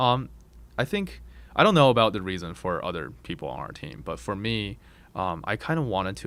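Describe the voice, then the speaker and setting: A man with vocal fry at a moderate pace. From China, moved to Boulder, Colorado at ten. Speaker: video game company founder. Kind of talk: interview. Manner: hesitant, many fillers.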